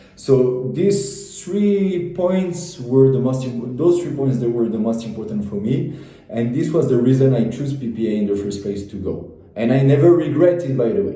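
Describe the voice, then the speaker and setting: With a French accent, a man speaks at a moderate pace in a medium pitch with lively intonation, over noticeable background noise and audible room echo. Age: 20s. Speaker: former business school student. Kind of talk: testimony. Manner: halting, many repetitions.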